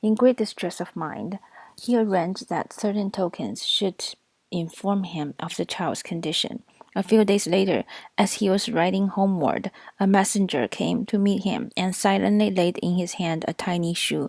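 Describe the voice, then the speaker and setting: A woman with a non-native accent, at medium pitch and moderate pace, with ordinary pitch variation. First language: not English. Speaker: audiobook reader. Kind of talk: reading aloud.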